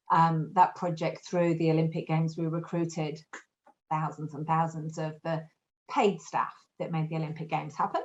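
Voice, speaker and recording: At a moderate pace, a woman talks in a fairly low, somewhat breathy voice with monotone, flat intonation. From Yorkshire, northern England. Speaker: recruitment business owner. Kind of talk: podcast interview.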